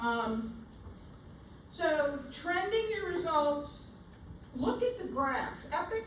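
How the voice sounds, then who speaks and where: A woman's high voice at a very slow pace, with very wide pitch swings, long, frequent pauses, audible room echo and noticeable background noise. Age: 60s. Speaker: nursing instructor. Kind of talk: lecture.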